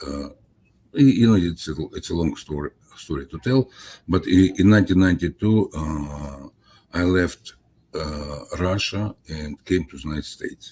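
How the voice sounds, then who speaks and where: This man's pitch is very deep and low, with a dark, mellow tone. His voice is somewhat breathy, with ordinary pitch variation. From Soviet Union. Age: 70s. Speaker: scientist, author. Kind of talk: interview. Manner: halting, many fillers.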